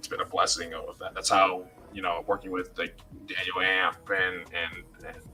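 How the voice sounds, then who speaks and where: A man speaks with music playing in the background. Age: 20s. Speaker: music producer and songwriter. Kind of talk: casual chat. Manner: animated.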